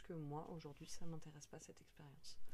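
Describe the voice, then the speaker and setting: Through audible room echo, a woman talks at a fairly quick pace in a very deep, low pitch with a dark, mellow tone. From Paris. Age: 30s. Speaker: cultural mediation worker. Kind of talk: casual interview. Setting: indoors at home.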